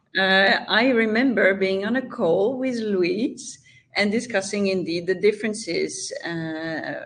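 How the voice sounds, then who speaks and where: A woman with a French accent talks at a fairly slow pace, her medium pitch carried by lively intonation. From France, Champagne region. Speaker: health tech founder. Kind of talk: interview.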